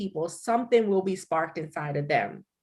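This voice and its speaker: Her tone is animated and her pitch medium for a woman. The recording is very clean with a silent background. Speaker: livestream host, nonprofit founder. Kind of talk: livestream interview. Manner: loud.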